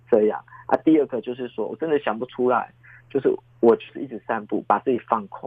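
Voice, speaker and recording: A man talks at a fairly quick pace and medium pitch with ordinary pitch variation and big swings in loudness. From Taiwan, Taichung Harbor area. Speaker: children's author. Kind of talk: interview. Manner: animated.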